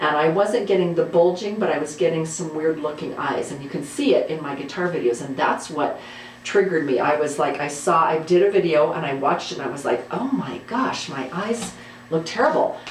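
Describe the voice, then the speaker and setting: Speaking at a fairly quick pace, a woman with a very deep, low pitch and ordinary pitch variation is heard through noticeable background noise and audible room echo. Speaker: guitar YouTuber and high school teacher. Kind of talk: casual monologue. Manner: fast.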